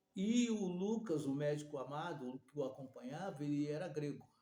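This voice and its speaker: In a room with audible echo, a man speaks in a fairly high, somewhat breathy voice with a dark, mellow tone and ordinary pitch variation. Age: 60s. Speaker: preacher. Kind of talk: sermon. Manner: halting.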